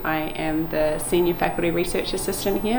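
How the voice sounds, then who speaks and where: A woman with a New Zealand accent talks at a moderate pace in a fairly low voice, with noticeable background noise and audible room echo. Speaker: lab manager, marine genetics researcher. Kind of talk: guided lab tour. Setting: indoors, research lab. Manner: casual, with fillers.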